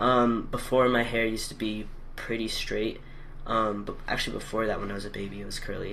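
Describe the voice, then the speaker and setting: In a room with audible echo, a man speaks at a moderate pace with monotone, flat intonation. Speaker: video blogger documenting gender transition. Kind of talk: casual vlog. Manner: hesitant, many fillers.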